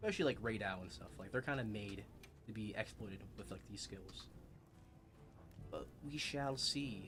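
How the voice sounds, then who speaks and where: A man with an American accent speaks at a moderate pace with a fairly low pitch and vocal fry. Long, frequent pauses break up his speech, and audible room echo surrounds it. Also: ordinary pitch variation, big swings in loudness. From Arkansas, US South. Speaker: gaming streamer. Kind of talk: live gameplay stream chat. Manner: casual, halting.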